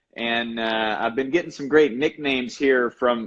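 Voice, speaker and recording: A man's medium-pitched voice in a Carolina accent, with ordinary pitch variation. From North Carolina, Asheboro. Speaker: baseball coach and motivator. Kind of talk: casual chat. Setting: Instagram live video stream.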